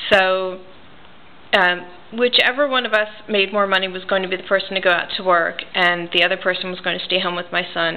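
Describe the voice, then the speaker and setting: A woman speaks with an American accent at a medium pitch. Noticeable background noise runs under her voice. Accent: New Jersey accent, noticeable to locals. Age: 40s. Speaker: reborn doll artist and writer. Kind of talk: casual personal vlog. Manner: casual, with frequent fillers.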